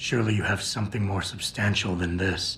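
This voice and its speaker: Using a raspy, put-on character voice at a fairly low pitch, a man talks at a fairly quick pace with clear background noise. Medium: video game. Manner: terse, dry.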